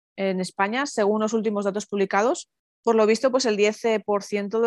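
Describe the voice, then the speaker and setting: Keeping a moderate pace, a woman at medium pitch speaks with fairly even intonation in a dry, close sound with no echo. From Basque Country, San Sebastián. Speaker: podcast host, mother. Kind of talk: casual interview. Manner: halting, many fillers and repetitions.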